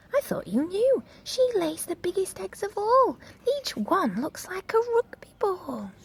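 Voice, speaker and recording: A woman puts on a character voice, speaking fairly slowly at an extremely high pitch. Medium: read story.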